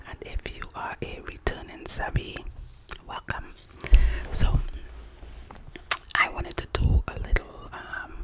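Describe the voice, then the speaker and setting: This woman whispers fairly slowly, her volume rising and falling sharply, with long pauses coming often. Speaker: ASMR creator. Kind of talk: ASMR storytelling. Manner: cupped whisper. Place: home room. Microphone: studio mic.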